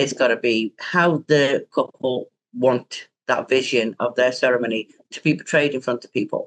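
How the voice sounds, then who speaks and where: A woman speaks with an American accent at a very deep, low pitch. Her intonation is fairly even. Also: moderate pace, dry, close sound with no echo. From Britain. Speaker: wedding officiant. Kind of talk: casual podcast interview.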